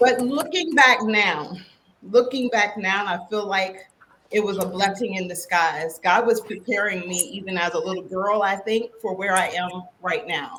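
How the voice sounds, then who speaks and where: A woman with an American accent speaks at medium pitch and a moderate pace, with ordinary pitch variation. It's a plain, everyday voice. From West Virginia, rural. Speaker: keynote speaker and coach. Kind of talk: podcast interview.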